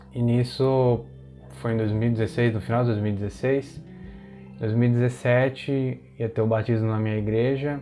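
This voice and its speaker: A man speaks with monotone, flat intonation. Music plays in the background. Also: medium pitch for a man, moderate pace. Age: 20s. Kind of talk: personal testimony, casual talk to camera.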